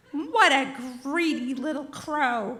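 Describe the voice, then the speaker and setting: A put-on character voice growls. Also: woman, high pitch for a woman. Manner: angry.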